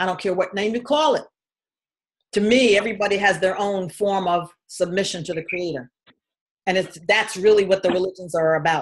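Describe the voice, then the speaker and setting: With a plain, everyday voice, a woman speaks in an American accent at a fairly quick pace, medium pitch and ordinary pitch variation. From New York City (Queens, Harlem). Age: 60s. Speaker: spiritual healer. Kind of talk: personal testimony. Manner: casual, conversational.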